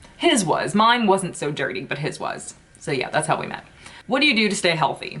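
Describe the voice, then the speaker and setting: A woman speaks at medium pitch and a fairly quick pace. Noticeable background noise runs underneath. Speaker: beauty YouTuber. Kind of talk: casual vlog chat.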